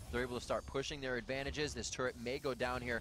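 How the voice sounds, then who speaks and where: A man talks at a very fast pace in an animated, excited tone and a medium pitch. Music plays in the background. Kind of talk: esports play-by-play commentary. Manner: animated, fast play-by-play; excited, rapid-fire calls of fights.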